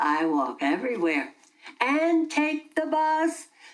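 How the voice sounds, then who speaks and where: Doing a put-on character voice, a woman speaks at a fairly slow pace in a high pitch. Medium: audio drama. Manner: chatty, rambling, laughs often.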